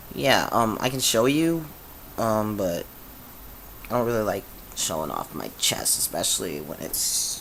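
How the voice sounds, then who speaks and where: With noticeable background noise, a man speaks fairly slowly, leaving long, frequent pauses. His fairly low voice swings very widely in pitch. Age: 20s. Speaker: vlogger sharing transition update. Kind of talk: casual video diary. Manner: halting, many fillers.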